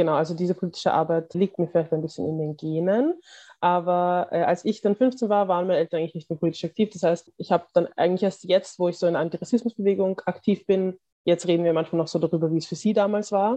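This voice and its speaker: A woman speaks very fast with a fairly low pitch, a dark, mellow tone and fairly even intonation, in a dry, close sound with no echo. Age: 20s. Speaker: activist. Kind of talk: interview.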